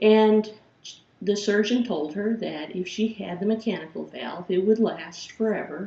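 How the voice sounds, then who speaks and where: Speaking with a Chicago accent at a moderate pace, a woman has a somewhat breathy voice of medium pitch and ordinary pitch variation. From Chicago, Illinois. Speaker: philosophy professor. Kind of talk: course introduction lecture.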